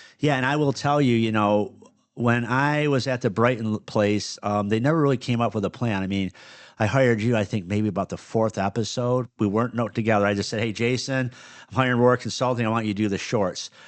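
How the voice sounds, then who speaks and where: A speaker with a Michigan accent talks at a fairly quick pace with fairly even intonation over a quiet background. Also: man, medium pitch for a man. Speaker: podcast host and business owner. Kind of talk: casual chat. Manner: stutters and misspeaks at times; clips word endings.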